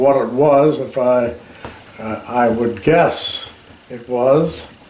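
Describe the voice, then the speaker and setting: Over noticeable background noise, a man talks with an Alberta accent. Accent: Canadian, Alberta. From Canada. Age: old. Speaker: war veteran. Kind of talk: interview answer, recounting war memories. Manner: hesitant, with fillers.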